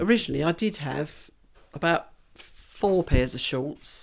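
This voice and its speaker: A woman talks at a very slow pace. Her voice is fairly low. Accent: English. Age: 60s. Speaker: vlogger. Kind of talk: casual vlog talk.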